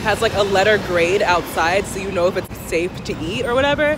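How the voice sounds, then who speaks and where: Noticeable background noise behind fairly quick talking and ordinary pitch movement. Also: woman. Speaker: vlogger. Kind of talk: casual vlog. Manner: casual, filler-heavy.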